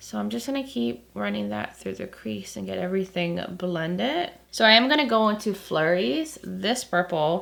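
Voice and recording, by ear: A woman's creaky, croaky voice with vocal fry and a fairly bright tone makes big pitch swings. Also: medium pitch for a woman, moderate pace.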